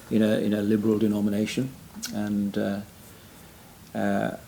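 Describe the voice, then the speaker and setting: A man with a Welsh accent, fairly low in pitch, with a dark, mellow tone at a fairly quick pace. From Wales. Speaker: retired pastor and church planter. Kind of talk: interview conversation. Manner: halting, many fillers.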